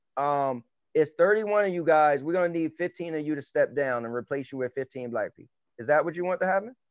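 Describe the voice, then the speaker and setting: This man speaks at a fairly quick pace with a fairly high pitch, ordinary pitch variation and big swings in loudness. The sound is dry and close with no echo, over a quiet background. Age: 40s. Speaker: podcast co-host. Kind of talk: casual debate. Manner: animated.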